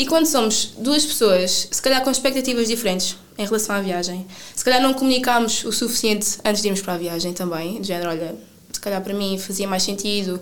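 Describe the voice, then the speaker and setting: Amid noticeable background noise and audible room echo, a woman speaks at a very fast pace with a fairly high pitch and lively intonation. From Portugal, Sines. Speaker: traveller. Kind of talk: interview.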